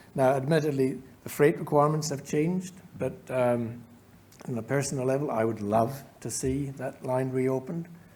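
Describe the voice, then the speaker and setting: A man with a New Zealand accent speaks at a moderate pace in a medium pitch, his tone dark and mellow and his intonation fairly even. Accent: noticeable Gisborne. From New Zealand, Gisborne. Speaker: company chair. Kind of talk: Q&A answers at shareholder meeting.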